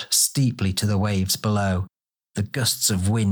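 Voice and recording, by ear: In a natural voice the text is read aloud with fairly level intonation, the background quiet.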